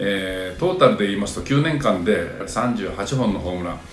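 Audible room echo surrounds a man's fairly low voice, with faint music in the background. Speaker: commentator. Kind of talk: commentary. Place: home room. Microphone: phone near.

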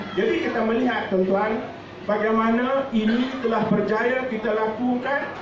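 Extremely high-pitched, a man speaks at a moderate pace amid noticeable background noise and audible room echo. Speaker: state party chairman. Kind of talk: political speech. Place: cafe. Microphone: camera far.

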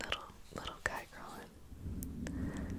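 A man is whispering. His tone is relaxed. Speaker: ASMR creator. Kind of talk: casual rambling talk to the listener. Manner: soft-spoken, relaxed. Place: home room. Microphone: studio mic.

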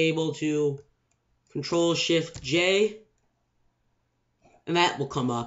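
The background is quiet as a man talks. His pitch is high and his pace fairly slow. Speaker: gamer making tutorial. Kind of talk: screen-recorded video game tutorial. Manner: casual, unscripted. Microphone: webcam.

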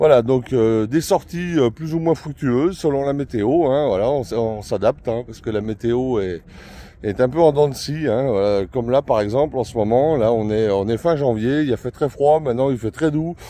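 The speaker is a man with a dark, mellow tone. He keeps to a moderate pace. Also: ordinary pitch variation, dry sound with no echo. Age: 50s. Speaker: mushroom-hunting YouTuber; foraging channel vlogger. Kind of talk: casual channel introduction vlog. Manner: hesitant, many fillers. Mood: friendly, relaxed. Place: forest. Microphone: phone near.

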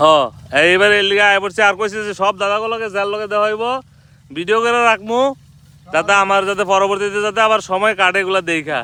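A man's raised, projected voice, high in pitch, bright and sharp in tone, with fairly even intonation. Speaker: vlogger. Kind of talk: casual vlog chat.

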